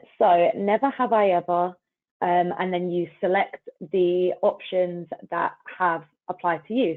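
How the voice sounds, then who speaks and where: A woman with a British accent speaks fairly slowly at a medium pitch, keeping her intonation fairly even. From United Kingdom. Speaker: customer marketing coordinator. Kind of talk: webinar hosting.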